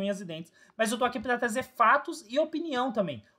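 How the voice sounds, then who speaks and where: A raised, projected voice with a bright, sharp tone rushes along at a very fast pace with lively intonation. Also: man. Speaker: football fan commentator, youtuber. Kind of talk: opinion monologue to camera.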